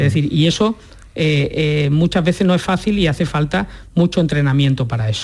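A man talks in a normal speaking voice at a fairly quick pace, his fairly high pitch showing ordinary variation and his loudness staying very even. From Andalusia, Huelva province. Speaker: neurologist. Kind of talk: radio interview.

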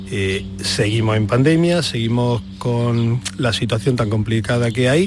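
Over noticeable background noise, a man talks at a fairly slow pace with hardly any pauses, medium pitch, ordinary pitch variation and very even loudness. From Almería, Andalusia, Spain. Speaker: motorsport event organizer. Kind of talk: radio interview.

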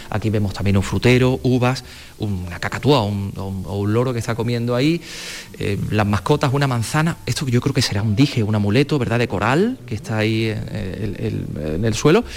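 A man speaks at a moderate pace and a medium pitch. Noticeable background noise runs underneath. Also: ordinary pitch variation. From Andalusia (La Carolina, Jaén). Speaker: radio host. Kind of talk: on-location radio interview. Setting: exhibition hall.

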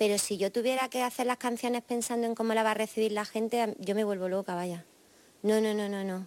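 A woman's fairly high voice in a flat monotone, dry and close with no echo, very clean recording and silent background. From Jaén, Andalusia, Spain. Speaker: rock singer-songwriter. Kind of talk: interview answers.

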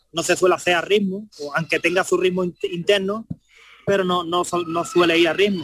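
A man with a high-pitched voice speaks in a flat monotone, his tone bright and sharp, in a dry, close recording with no echo. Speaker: flamenco guitarist. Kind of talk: radio interview.

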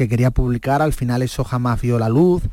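Dark, mellow male speech with ordinary variation in pitch. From Cádiz, Andalusia, Spain. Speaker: writer and music biographer. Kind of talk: radio interview. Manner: halting, frequent word repetitions.

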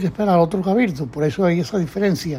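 The man's voice sits high in pitch and rises and falls in an ordinary way. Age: 80s+. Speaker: elderly brotherhood member recounting memories. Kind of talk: oral history interview.

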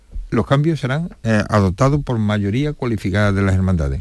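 Speech at a moderate pace with lively intonation. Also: man. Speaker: brotherhood council president. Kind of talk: radio interview. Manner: halting.

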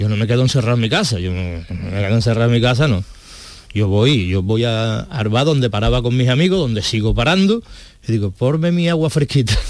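Lively intonation from a man at medium pitch and a fairly quick pace. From Seville. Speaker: firefighter awaiting kidney transplant. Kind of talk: testimony. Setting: studio.

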